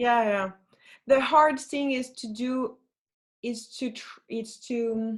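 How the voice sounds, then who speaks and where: A woman with a French accent speaks at a very slow pace in a high voice, leaving long, frequent pauses. Her intonation is fairly even while her loudness swings widely. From France. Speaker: flautist and singer. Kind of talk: interview.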